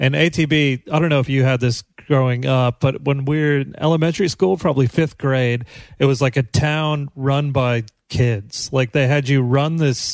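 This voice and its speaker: A man with an American accent and an ordinary speaking voice talks at a moderate pace and a fairly high pitch, with fairly even intonation and very even loudness. The recording is very clean, dry and close, with a silent background and no echo. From US Midwest, Kansas. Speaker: comedian podcast host. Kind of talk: casual chat.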